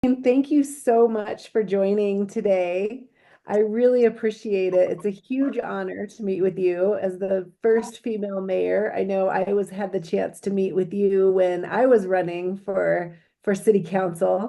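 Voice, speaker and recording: A woman talks at a fairly slow pace in a dark, mellow tone. Her intonation stays fairly even. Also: medium pitch for a woman. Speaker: former mayor. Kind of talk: interview questions.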